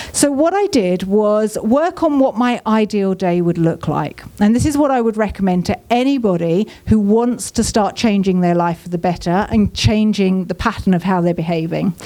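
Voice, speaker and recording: A woman speaks in a southern English accent at a moderate pace, her medium pitch carried by lively intonation. Her loudness stays very even, with hardly any pauses. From southern England. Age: 40s. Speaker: business mentor and speaker. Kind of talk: inspirational talk. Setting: stage with audience.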